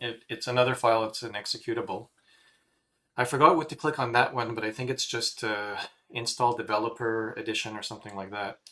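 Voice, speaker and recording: Bright and sharp in tone, the voice keeps its intonation fairly even. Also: man. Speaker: teacher. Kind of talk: tutorial. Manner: fast; halting.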